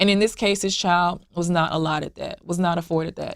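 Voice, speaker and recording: In a very clean recording with a silent background, a woman of medium pitch talks at a fairly quick pace in an ordinary speaking voice. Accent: American. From US South, Memphis, Tennessee. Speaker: blended family community founder. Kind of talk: interview. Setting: sit-down interview.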